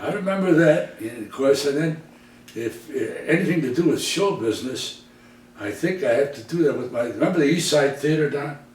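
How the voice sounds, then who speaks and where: Audible room echo and noticeable background noise accompany a man talking at a moderate pace. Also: fairly high pitch for a man, ordinary pitch variation. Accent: American. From US Midwest, Detroit. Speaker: entertainer. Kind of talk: casual reminiscing interview.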